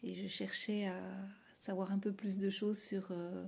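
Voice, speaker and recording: This woman's voice is somewhat breathy, with a dark, mellow tone. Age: 50s. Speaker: aspiring coach. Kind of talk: testimonial.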